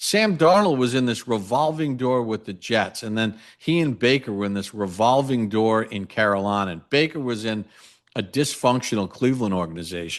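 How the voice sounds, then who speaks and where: This man has an unremarkable speaking voice of medium pitch, with lively intonation and a moderate pace, against a quiet background. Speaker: radio play-by-play announcer. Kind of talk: sports analysis talk on podcast.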